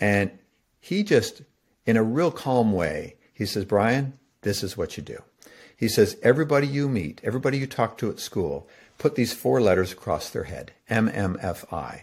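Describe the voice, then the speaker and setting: Very clean with a silent background, the recording captures a man at a medium pitch and moderate pace. His voice has vocal fry and very wide pitch swings. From Toronto, Canada. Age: 60s. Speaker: author and speaker. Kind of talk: interview.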